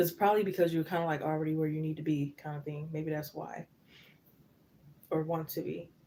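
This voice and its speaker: A soft-spoken woman talks at a fairly quick pace with long, frequent pauses. Her voice is very deep and low, dark and mellow, with monotone, flat intonation. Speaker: tarot reader. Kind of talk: live tarot reading. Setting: live stream.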